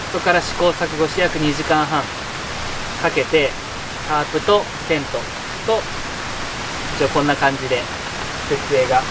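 With long, frequent pauses, a man keeps a moderate pace while loud background noise fills the recording. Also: ordinary pitch variation. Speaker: camping vlogger. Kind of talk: casual vlog chat. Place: tent.

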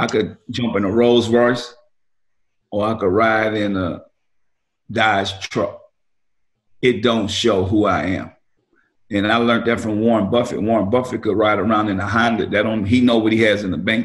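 Monotone, flat speech from a man at a fairly low pitch, delivered at a moderate pace with long, frequent pauses. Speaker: remote guest. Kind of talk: interview answer. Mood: reflective, advising. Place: home room. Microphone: video call.

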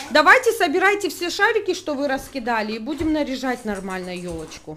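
A woman speaks at a fairly quick pace in a high, raised, projected voice with very wide pitch swings and big swings in loudness. Light background noise sits behind her. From Sukhum, Abkhazia. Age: 30s. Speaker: mother and family vlogger. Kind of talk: casual vlog talk to camera.

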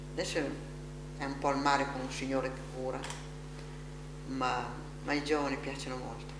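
A woman's fairly quick voice with long, frequent pauses, over noticeable background noise. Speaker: elderly rehabilitation patient. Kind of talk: interview. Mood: warm, lively reminiscing. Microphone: camera far.

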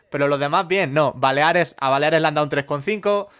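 A man's pitch sits fairly high and varies in an ordinary way. He talks at a fairly quick pace in a quiet background. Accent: Madrid. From Madrid, Spain; Spain. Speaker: comedy podcast co-host. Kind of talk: casual comedic chat. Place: home room. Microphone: studio mic.

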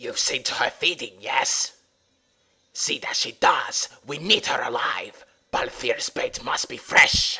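Using a put-on, raspy character voice, a man talks rather slowly. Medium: dub. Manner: gruff, snarling.

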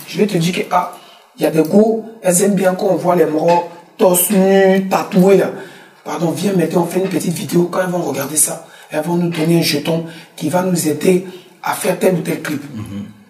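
A man's high-pitched voice at a moderate pace, with fairly even intonation and audible room echo. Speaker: musician; guest. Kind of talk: interview. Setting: studio. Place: studio.

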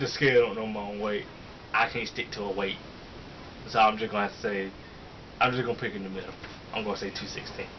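A man's fairly low, monotone voice at a fairly quick pace, with long, frequent pauses and light background noise. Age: 20s. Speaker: fitness youtuber. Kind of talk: casual Q&A chat. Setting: home video recording. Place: home room. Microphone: webcam.

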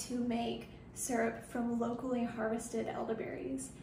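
With light background noise and audible room echo, a woman talks in a high pitch. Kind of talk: tutorial. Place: kitchen. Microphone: phone near.

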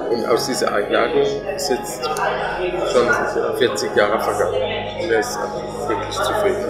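Loud music plays in the background. The speech moves at a fairly slow pace, with long, frequent pauses. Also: man. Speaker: fitness club owner. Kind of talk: interview answer. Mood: warm, proud. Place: cafe.

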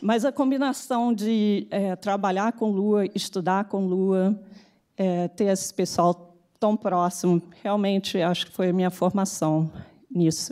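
A woman with a Carioca accent speaks very slowly in a dark, mellow tone, her pitch moving in an ordinary way. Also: quiet background. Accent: carioca Brazilian Portuguese. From Brazil, Rio de Janeiro. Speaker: tech executive; speaker. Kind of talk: conference talk. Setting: stage with audience. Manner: halting. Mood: reflective, warm. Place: hall. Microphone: podium.

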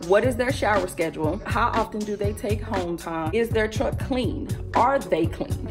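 Over clear music in the background, a woman with an American accent talks at a moderate pace in an upbeat, excited tone with lively intonation. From United States. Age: 20s. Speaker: truck driver in training. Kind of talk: casual vlog talk to camera. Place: home room. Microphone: phone near.

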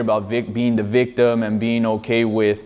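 This man talks at a moderate pace. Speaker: boxing coach. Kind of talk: interview answer. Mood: calm, reflective. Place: hall. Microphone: lapel.

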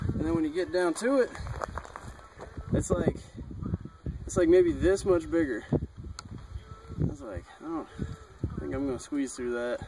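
A man's voice with long, frequent pauses, dry and without echo, over noticeable background noise. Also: moderate pace. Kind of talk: casual chat. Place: open country.

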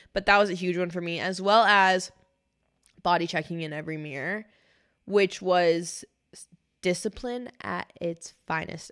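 A woman speaks at a fairly slow pace and fairly low pitch, with fairly even intonation. Long, frequent pauses break her speech against a quiet background. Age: 20s. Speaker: podcast co-host. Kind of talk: casual chat. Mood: reflective, candid. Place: studio. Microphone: studio mic.

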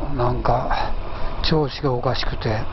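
The sound is dry with no echo. Background noise is noticeable. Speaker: motorcycle rider vlogger. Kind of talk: casual vlog chat. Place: motorbike.

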